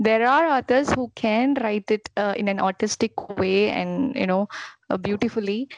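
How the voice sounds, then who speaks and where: In a dry, close sound with no echo, a woman with a normal speaking voice talks at a fairly slow pace, her fairly high pitch showing ordinary variation. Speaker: author and guest. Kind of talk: casual interview chat.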